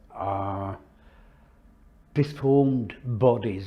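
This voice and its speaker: At a very slow pace, a man speaks in a dark, mellow, somewhat breathy voice. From southeast England, north east Kent. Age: 80s+. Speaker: war veteran. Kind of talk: interview testimony.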